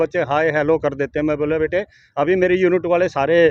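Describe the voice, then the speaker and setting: Fairly even intonation in a man's high voice. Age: 60s. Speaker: retired soldier and long-distance cyclist. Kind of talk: interview.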